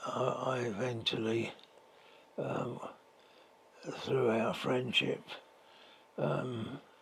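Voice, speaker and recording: Very slowly and in a monotone, flat delivery, a man speaks with a London accent. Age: 90s. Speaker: retired gas works clerk. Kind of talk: interview answer.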